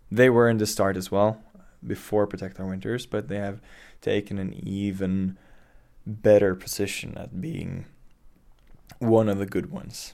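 With a Norwegian accent, the speaker keeps a fairly even intonation but makes big swings in loudness and takes long, frequent pauses. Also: man, fairly low pitch for a man, moderate pace. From western Norway. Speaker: climate activist. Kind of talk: interview. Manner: halting.

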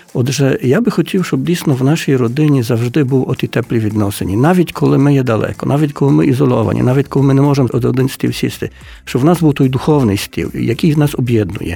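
At a very fast pace, a man with a medium pitch and a dark, mellow, somewhat breathy tone speaks with lively intonation. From Poland (Ukrainian community, Lemko roots). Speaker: book publisher. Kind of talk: radio interview.

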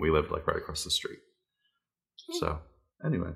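A man speaks with an American accent in a very deep, low pitch. His tone is bright and sharp. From US Northeast (New York / Pennsylvania). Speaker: parent podcast co-host. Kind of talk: casual chat.

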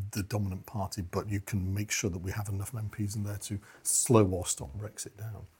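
A man with a British accent speaks in a fairly low, somewhat breathy voice. His tone is dark and mellow, his intonation fairly even. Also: very clean recording, silent background. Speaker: communications and crisis management expert. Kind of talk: political discussion.

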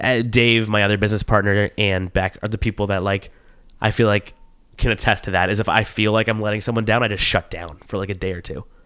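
On a very clean recording with a silent background, a man with a bright, sharp tone and fairly low pitch speaks very fast in a monotone, flat intonation. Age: 20s. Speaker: podcast host. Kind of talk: casual chat.

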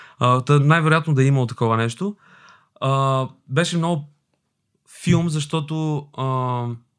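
A man at a fairly high pitch, fairly slow pace and fairly even intonation, with long, frequent pauses, on a very clean recording with a silent background. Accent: Albanian. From Albania, moved to Bulgaria at 10. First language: Albanian (speaking Bulgarian). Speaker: actor. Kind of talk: casual chat.

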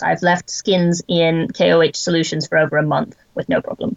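This is a woman speaking. She talks with an American accent. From Wyoming, US. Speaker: experimental archaeologist and tanning expert. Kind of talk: interview; demonstration.

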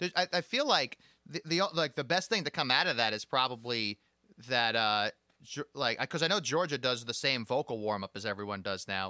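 Dry and close with no echo, a man's bright, sharp voice at a medium pitch moves at a fairly quick pace with lively intonation. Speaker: podcast host. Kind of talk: casual interview chat. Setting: video call, recorded during lockdown.

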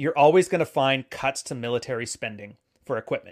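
In a very clean recording with a silent background, a man with a normal speaking voice talks at a fairly quick pace with lively intonation. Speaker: podcast guest. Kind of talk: casual chat.

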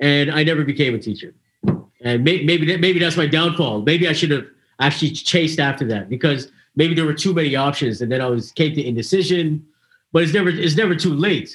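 This man talks at a fairly quick pace in a somewhat breathy, fairly high-pitched voice with ordinary pitch variation. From Canada. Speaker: podcast host. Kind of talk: casual chat.

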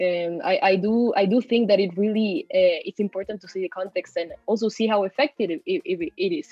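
A woman speaks at a medium pitch with ordinary variation. She leaves hardly any pauses. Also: moderate pace. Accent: Spanish. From Peru. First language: Spanish. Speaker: university student. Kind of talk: casual discussion.

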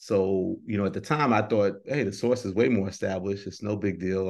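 With a normal speaking voice, a man talks at a fairly quick pace in a fairly low pitch, with fairly even intonation, hardly any pauses and a quiet background. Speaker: hip-hop journalist and editor. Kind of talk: interview answers, reflective career talk.

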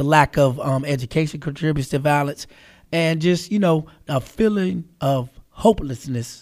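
A normal speaking voice, from a man with an American accent. His pitch is fairly high with ordinary variation, on a very clean recording with a silent background. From Charlotte, North Carolina. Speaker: radio host. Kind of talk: casual interview.

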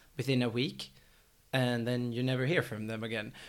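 At a moderate pace, a man talks with a Swedish accent. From Sweden. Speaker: tech startup executive. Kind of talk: casual chat.

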